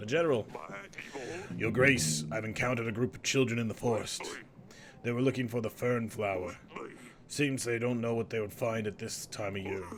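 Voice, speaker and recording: Using a put-on character voice, a man talks at a fairly quick pace in a raspy, medium-pitched tone with ordinary pitch variation. Clear background noise can be heard. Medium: game stream.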